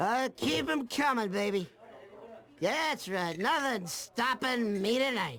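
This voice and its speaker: A man puts on a cartoonish character voice at a high pitch. He goes at a fairly slow pace, and his loudness stays very even. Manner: excitable, gloating.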